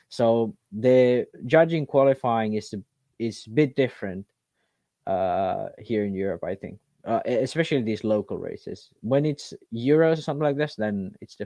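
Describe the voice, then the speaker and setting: A man speaks in a medium pitch with a non-native accent, his dark, mellow tone sounding dry and close with no echo, his loudness swinging widely and his pitch varying in an ordinary way over a quiet background. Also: moderate pace. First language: not English. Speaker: RC racing podcast co-host. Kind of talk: casual chat. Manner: halting.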